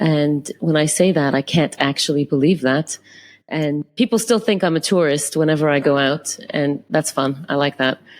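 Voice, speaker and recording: A Canadian accent at a moderate pace, ordinary pitch variation and very even loudness, on a very clean recording with a silent background. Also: woman, very deep, low pitch for a woman. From Canada. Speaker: photographer. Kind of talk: interview. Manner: halting.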